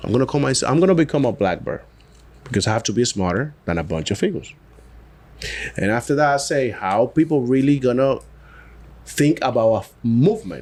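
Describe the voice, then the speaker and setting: A man with a Dominican accent talks at a fairly quick pace, broken by long, frequent pauses. His medium pitch takes very wide swings, with vocal fry. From Dominican Republic. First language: Spanish. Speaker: cigar brand founder. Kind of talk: casual podcast interview.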